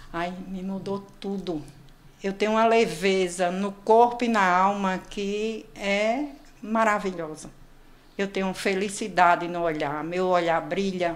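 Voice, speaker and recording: A woman's medium-pitched voice at a very slow pace with fairly even intonation. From Brazil, Northeast (João Pessoa, Paraíba). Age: 60s. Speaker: patient sharing weight-loss story. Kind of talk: interview testimony.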